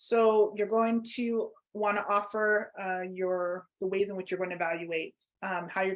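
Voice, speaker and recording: This is an ordinary speaking voice with a Canadian accent and fairly even intonation. The background is quiet. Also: woman. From Toronto, Canada. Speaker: workshop facilitator. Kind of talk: online workshop.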